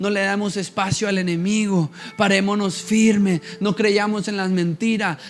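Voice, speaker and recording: Over noticeable background noise, a man speaks fairly slowly at a high pitch in a flat monotone. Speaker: pastor. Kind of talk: sermon.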